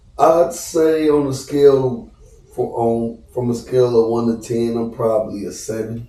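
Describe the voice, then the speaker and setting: Audible room echo and noticeable background noise accompany a voice at a moderate pace with ordinary pitch variation. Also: man, medium pitch for a man. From US Midwest, Cleveland, Ohio. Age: 30s. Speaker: celebrity barber and rapper. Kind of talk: casual podcast interview.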